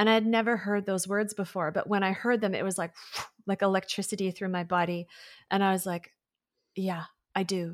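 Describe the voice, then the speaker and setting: With a medium pitch and monotone, flat intonation, a woman talks at a fairly quick pace broken by long, frequent pauses, in a very clean recording with a silent background. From rural conservative farm town. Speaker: spiritual teacher and channel. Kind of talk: casual interview chat; guided channeled message.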